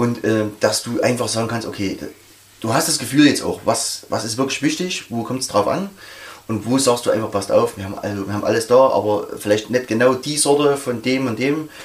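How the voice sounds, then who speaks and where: With noticeable background noise, a man speaks fairly quickly at medium pitch and ordinary pitch variation. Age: 40s. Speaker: metal club member. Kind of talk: casual interview.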